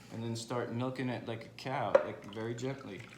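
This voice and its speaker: Noticeable background noise and audible room echo surround the recording. A man speaks at medium pitch with monotone, flat intonation. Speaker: home cooking video creator. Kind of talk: tutorial. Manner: fast; casual, informal.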